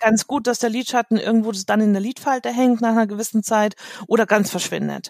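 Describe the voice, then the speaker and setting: A woman has an ordinary speaking voice, fairly high in pitch and fairly quick. Her intonation is fairly even, and the sound is dry and close with no echo. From Munich, Germany. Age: 40s. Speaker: make-up artist and coach. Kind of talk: interview.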